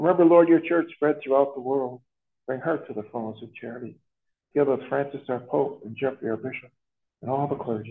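A man talks at a fairly quick pace with ordinary pitch variation. His is an unremarkable speaking voice. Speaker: priest celebrating Mass. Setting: school chapel with congregation.

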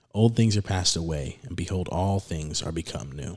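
At a moderate pace, a man with an unremarkable speaking voice talks with ordinary pitch variation. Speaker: podcast host. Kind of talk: casual religious discussion podcast. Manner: casual, chatty.

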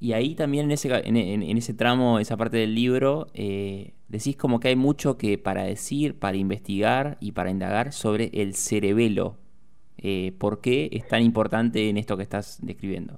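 A man with a Rioplatense accent, medium-pitched, with ordinary pitch variation and a moderate pace, on a very clean recording with a silent background. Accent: Argentine Rioplatense Spanish. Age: 20s. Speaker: radio host. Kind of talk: radio interview. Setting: radio studio.

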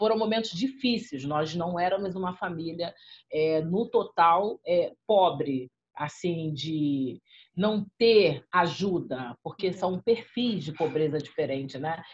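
Somewhat breathy and very slow, a woman talks with lively intonation. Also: fairly low pitch for a woman. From Rio de Janeiro favelas, Brazil. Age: 40s. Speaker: rapper, radio presenter and social activist. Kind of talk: interview.

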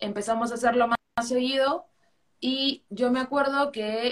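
With an Arequipa accent, a woman speaks at a fairly high pitch. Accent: Peruvian Spanish (Arequipa). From Peru, Arequipa. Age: 20s. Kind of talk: interview. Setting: live video call on social media.

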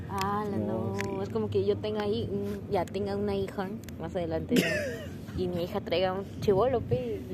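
The speech comes at a moderate pace, with audible room echo and noticeable background noise. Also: woman. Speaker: podcast host. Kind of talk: casual chat.

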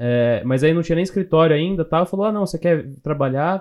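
This is a man with a fairly high pitch and an ordinary speaking voice. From interior of São Paulo state, Brazil (Louveira). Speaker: software developer. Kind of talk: casual interview chat.

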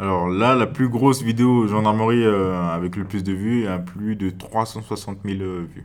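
A man's fairly low voice at a very slow pace with fairly even intonation, on a very clean recording with a silent background. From French Guiana, Cayenne. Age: young. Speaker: gendarme. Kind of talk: interview. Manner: halting.

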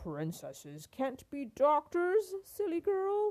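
A woman's put-on character voice, high-pitched and slightly mellow, slow and with very wide pitch swings

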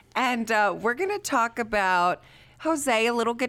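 Very clean recording, silent background, with a woman in an ordinary speaking voice, lively intonation and a fairly slow pace. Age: 30s. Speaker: podcast host. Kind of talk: casual chat.

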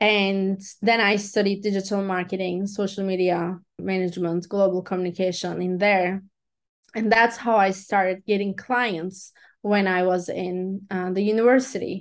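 A Turkish accent at a moderate pace, with monotone, flat intonation and a quiet background. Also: woman, medium pitch for a woman. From Turkey. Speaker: life coach and motivational speaker. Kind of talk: podcast interview. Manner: non-native English, some grammar slips.

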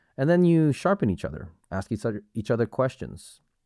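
At a moderate pace, a man speaks in a dark, mellow tone, with a dry, close sound with no echo on a very clean recording with a silent background. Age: 40s. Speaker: martial arts instructor and podcast host. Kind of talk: solo podcast monologue. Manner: casual, with repetitions and hesitations.

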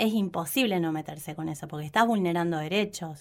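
A woman with a normal speaking voice talks at a fairly quick pace in a fairly low pitch, with ordinary pitch variation. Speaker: education official. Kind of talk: interview.

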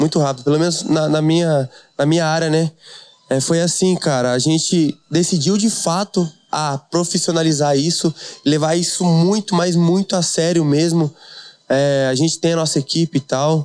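Speaking at a moderate pace with an ordinary speaking voice, a man with a fairly high pitch keeps fairly even intonation and very even loudness in a dry, close sound with no echo. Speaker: DJ and funk artist. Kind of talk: casual chat.

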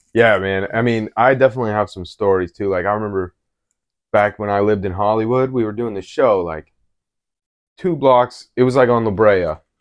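Someone with a normal speaking voice talks at a fairly quick pace in an American accent. Pitch variation is ordinary. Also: man, fairly low pitch for a man. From Colorado, Denver. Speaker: hip hop artist. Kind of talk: casual chat.

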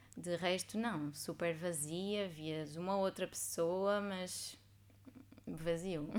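A woman's very slow speech, fairly low in pitch, with fairly even intonation. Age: 20s. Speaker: former exchange student, NGO communications worker. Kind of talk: casual interview chat.

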